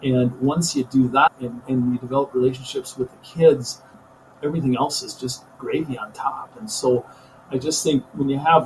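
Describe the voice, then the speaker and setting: A man's medium-pitched voice with a Minnesota accent over noticeable background noise. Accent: Upper Midwest (Minnesota) American. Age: 60s. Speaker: high school teacher and coach. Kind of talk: podcast interview. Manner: animated.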